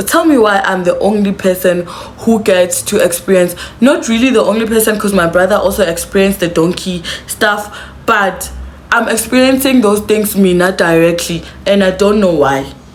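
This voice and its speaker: A woman speaks with an animated tone in a South African accent. Music plays in the background, and her loudness stays very even. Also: medium pitch for a woman, ordinary pitch variation, moderate pace. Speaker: YouTuber. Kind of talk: storytime to camera. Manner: casual, animated.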